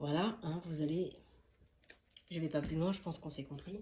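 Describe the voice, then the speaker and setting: A woman with a fairly low pitch, somewhat breathy, dark and mellow in tone. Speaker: tarot card reader. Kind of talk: tarot reading. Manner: fast; halting.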